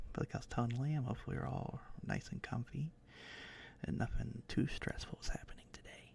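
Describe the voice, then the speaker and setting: A man whispers, leaving long, frequent pauses. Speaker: ASMR streamer. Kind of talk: casual live-stream chat. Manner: halting, stuttering; soft-spoken.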